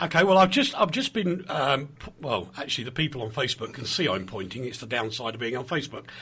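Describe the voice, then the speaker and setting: Over noticeable background noise, a man at medium pitch talks at a very fast pace with hardly any pauses, very wide pitch swings and big swings in loudness. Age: 60s. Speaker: radio presenter. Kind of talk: radio interview.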